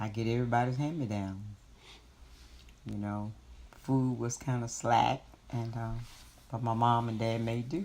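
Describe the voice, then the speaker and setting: In a room with audible echo, a woman speaks at a moderate pace in a very deep, low voice with a dark, mellow tone, fairly even intonation and long, frequent pauses. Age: 60s. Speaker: grandmother interviewed by grandchild. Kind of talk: family interview.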